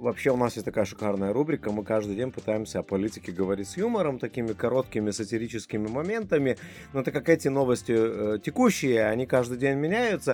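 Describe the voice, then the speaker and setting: A man's medium-pitched voice at a very fast pace, with lively intonation and music in the background. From Lithuania. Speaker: guest from Lithuania. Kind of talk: casual chat.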